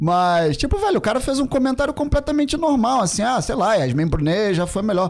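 Against a quiet background, a man with a high pitch talks at a fairly quick pace, his pitch swinging very widely. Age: 40s. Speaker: podcast guest. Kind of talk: casual chat. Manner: halting. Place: studio. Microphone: studio mic.

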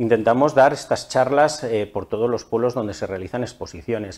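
At a fairly quick pace, the speaker uses a plain, everyday voice. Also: man. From Almazán, Soria, Spain; Soria, Spain. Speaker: forestry association manager. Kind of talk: TV interview. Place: studio. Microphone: lapel.

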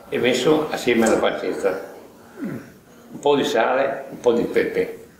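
A man speaks at a fairly slow pace in a recording with audible room echo and noticeable background noise. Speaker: home cook. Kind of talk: recipe explanation. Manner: halting.

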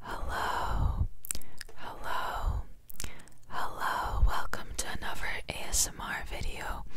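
A woman whispering at a very slow pace with long, frequent pauses. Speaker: ASMR creator. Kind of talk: ASMR whisper ramble. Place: home room. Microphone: studio mic.

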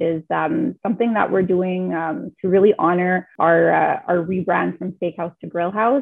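At a moderate pace, a woman speaks with a fairly low pitch, a slightly husky edge and vocal fry. Her intonation is fairly even.

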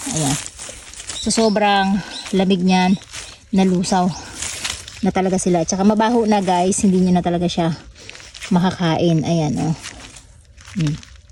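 Over noticeable background noise, a woman speaks at medium pitch and a fairly slow pace, with fairly even intonation and long, frequent pauses. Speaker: farming vlogger. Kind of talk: farming tutorial vlog. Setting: outdoors on a farm.

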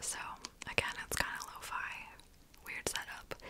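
A woman is whispering. Her pace is fairly slow. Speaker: ASMR content creator. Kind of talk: ASMR personal-attention roleplay. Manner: whispered, soft. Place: office.

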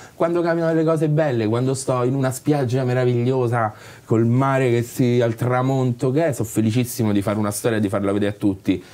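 A man speaks very fast at a medium pitch, his tone dark and mellow. His loudness stays very even, with ordinary pitch variation. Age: 30s. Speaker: actor and writer; actor. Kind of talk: interview. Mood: reflective, candid. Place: bar.

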